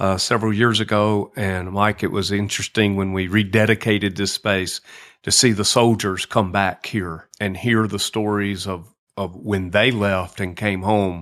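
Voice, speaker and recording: A man with a Southern US accent speaks at a moderate pace in a fairly low, flat monotone. The recording is very clean, with a silent background. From US South, lower Alabama. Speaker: nonprofit executive director. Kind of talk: podcast interview. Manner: hesitant, many fillers.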